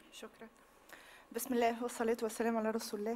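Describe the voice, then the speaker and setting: A woman talks with a Tunisian accent. Her pitch is high. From Tunisia, Tunis. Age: 30s. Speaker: victim giving testimony; witness. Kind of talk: testimony. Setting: public hearing with audience. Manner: halting. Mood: emotional, earnest. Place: hall. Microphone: podium.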